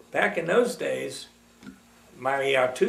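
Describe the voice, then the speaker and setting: You can hear a room's echo along with a fair amount of background noise. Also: man. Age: 90s. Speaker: retired teacher recounting his life. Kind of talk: oral history interview. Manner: halting, many fillers.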